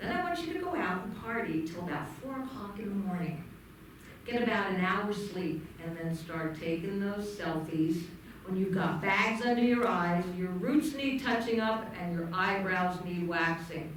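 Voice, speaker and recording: Amid noticeable background noise and audible room echo, a woman with a medium pitch speaks at a moderate pace. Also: ordinary pitch variation. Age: 70s. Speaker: stand-up comedian. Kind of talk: stand-up. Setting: stage with audience.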